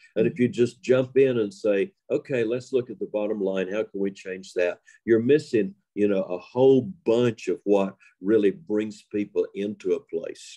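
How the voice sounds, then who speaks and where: A man speaks at a moderate pace, his medium-pitched voice dark and mellow in tone with ordinary pitch variation. The sound is dry and close, with no echo. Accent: Appalachian. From Western North Carolina. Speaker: storyteller. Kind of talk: interview.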